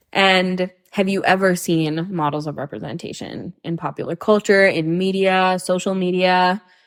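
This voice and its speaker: A woman with a North American accent speaks at a moderate pace in a plain, everyday voice, her medium pitch carried on fairly even intonation. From Hong Kong. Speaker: podcast guest. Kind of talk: casual chat.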